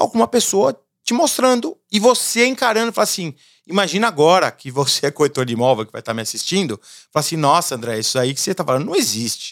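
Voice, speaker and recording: Talking at a very fast pace, a man with a high pitch makes very wide pitch swings, captured in a very clean, dry, close recording with no echo and a silent background. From Brazil. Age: 40s. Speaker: entrepreneur. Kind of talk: casual interview.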